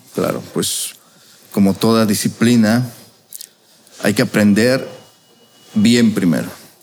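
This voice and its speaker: Amid noticeable background noise, a man speaks very slowly with long, frequent pauses, at a fairly low pitch with ordinary pitch variation. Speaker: restaurant chef. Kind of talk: casual interview.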